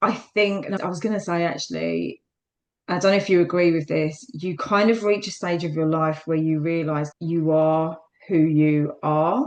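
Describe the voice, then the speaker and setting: This woman speaks with a South London accent at a fairly low pitch. Her pace is moderate. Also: ordinary pitch variation. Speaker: fitness instructor. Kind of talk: interview.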